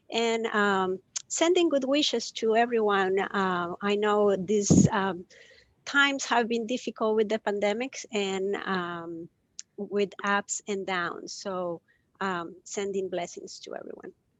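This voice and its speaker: Speaking at a very slow pace with an ordinary range of pitch, a woman talks in a Spanish accent. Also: medium pitch for a woman. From Costa Rica. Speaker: compassion educator. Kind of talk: live video interview. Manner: hesitant, many fillers.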